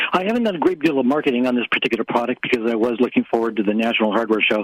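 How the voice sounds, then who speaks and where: Very fast pace, very even loudness and ordinary pitch variation, with noticeable background noise. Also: man, medium pitch for a man. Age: 70s. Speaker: inventor. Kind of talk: radio interview. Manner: halting, many fillers.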